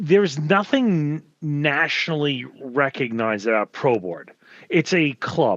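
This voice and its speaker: Fairly high-pitched, a man speaks with a New York accent and lively intonation. The background is quiet. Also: fairly slow pace. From New York area. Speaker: hazmat instructor and firefighter. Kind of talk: casual panel discussion.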